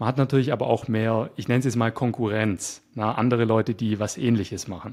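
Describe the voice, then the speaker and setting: With an ordinary speaking voice, a man talks at a fairly quick pace and medium pitch on a very clean recording with a silent background. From Swabia, near Stuttgart, Germany. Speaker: web developer and YouTuber. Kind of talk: casual interview conversation. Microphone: good microphone.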